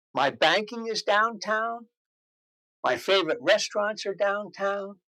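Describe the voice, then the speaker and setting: A man speaks in a raised, projected voice with a high pitch. His tone is bright and sharp. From New Jersey, Morristown. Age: 70s. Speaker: interviewee, longtime local resident. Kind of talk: interview. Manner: hesitant, with filler words.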